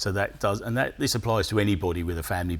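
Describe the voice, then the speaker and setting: Somewhat breathy, a man talks at a very fast pace with fairly even intonation. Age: 60s. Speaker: classic car restorer and business owner. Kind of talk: interview.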